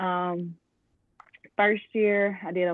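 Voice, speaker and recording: Speaking very slowly, a woman with an American accent uses a fairly low pitch. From US South, Atlanta, Georgia. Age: 20s. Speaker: physical therapist. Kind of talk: interview. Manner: casual, many filler ums.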